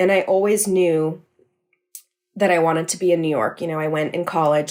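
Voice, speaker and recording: A woman with a West Coast accent speaks in a very deep, low pitch on a very clean recording with a silent background. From California. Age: 20s. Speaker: podcast producer. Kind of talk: interview.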